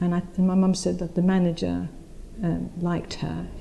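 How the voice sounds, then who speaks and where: With an East End London accent, a woman talks at a moderate pace with a fairly low pitch and fairly even intonation. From East London (Spitalfields), moved from India aged four. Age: 60s. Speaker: oral history interviewee. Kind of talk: oral history interview. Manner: conversational, with frequent repetitions and fillers.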